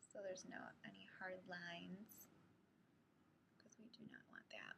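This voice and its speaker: This woman is soft-spoken and keeps a moderate pace. Her speech has long, frequent pauses. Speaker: beauty vlogger. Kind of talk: makeup tutorial talk to camera. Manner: soft-spoken, quiet.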